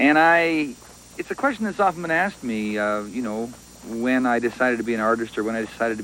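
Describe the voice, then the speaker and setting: With a western Canadian accent, the speaker races along at a very fast pace with lively intonation while noticeable background noise sounds behind. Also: man. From western Canada, British Columbia. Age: 40s. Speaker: poet. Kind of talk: interview. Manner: halting, many fillers.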